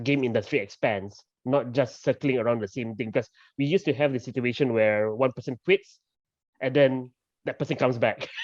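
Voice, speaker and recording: A man speaks with a Malaysian accent at a fairly quick pace. His pitch is medium with ordinary variation, and the sound is dry and close with no echo. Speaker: game developer. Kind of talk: panel discussion. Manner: conversational, many fillers.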